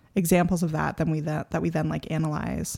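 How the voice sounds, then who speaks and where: Recorded very cleanly against a silent background, a woman talks with an American accent. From New York, the Bronx. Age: 20s. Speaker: photographer and educator. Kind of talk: casual chat.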